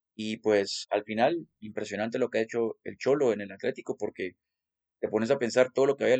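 This man's medium-pitched voice carries fairly even intonation. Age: 20s. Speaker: football podcast co-host. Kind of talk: casual sports chat.

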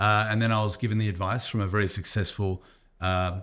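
A man with an Australian accent speaks at a fairly low pitch with fairly even intonation, on a very clean recording with a silent background. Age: 40s. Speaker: strength coach. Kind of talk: casual chat. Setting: gym.

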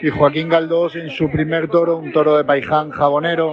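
Noticeable background noise sits beneath a man's speech. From Spain, Murcia. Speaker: matador acting as field reporter. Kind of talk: phone report.

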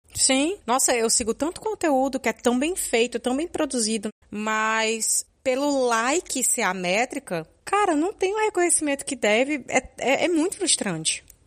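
A woman speaks at a fairly slow pace with hardly any pauses, her high pitch making very wide swings. The recording is very clean, with a silent background. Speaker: podcaster and podcast editor. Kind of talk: casual interview chat.

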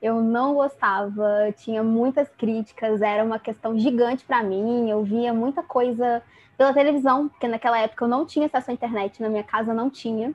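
Pitched fairly high, a woman talks with hardly any pauses. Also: fairly even intonation, moderate pace. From Rio de Janeiro state interior, Brazil. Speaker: psychology student, feminist activist. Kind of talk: casual chat.

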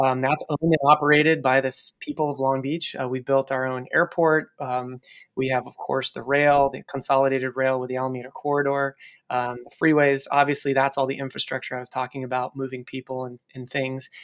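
A man with a Californian accent and medium pitch, fairly quick and monotone, flat in intonation, with big swings in loudness and a dry, close sound with no echo. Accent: General American (Californian). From California, US (San Luis Obispo). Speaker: city economic development director. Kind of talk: interview.

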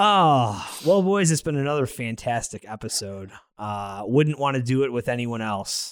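With lively intonation and a moderate pace, a man speaks in a medium pitch and an unremarkable speaking voice. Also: very clean recording, silent background. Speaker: podcast host. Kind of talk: casual comedy banter.

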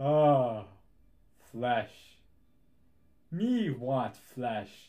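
A man performs a put-on character voice. It sits at a medium pitch. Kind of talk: broken, simple speech. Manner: dumbfounded, dim.

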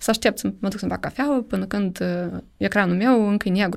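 At a moderate pace, a woman speaks with medium pitch in an unremarkable speaking voice. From Moldova. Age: 30s. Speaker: startup program director. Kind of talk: podcast interview.

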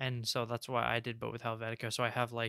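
A man speaks softly at a medium pitch with a bright, sharp tone. The sound is dry and close, with no echo. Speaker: industrial design podcast co-host. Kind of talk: casual chat. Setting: online voice call. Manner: soft-spoken.

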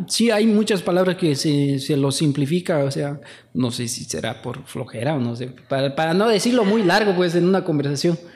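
The speaker uses lively intonation in a western Bolivian accent. The pace is moderate. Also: man, fairly high pitch for a man. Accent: noticeably western Bolivian (La Paz). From Bolivian highlands (La Paz). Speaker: podcast host. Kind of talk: casual chat. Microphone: saturated, poor audio.

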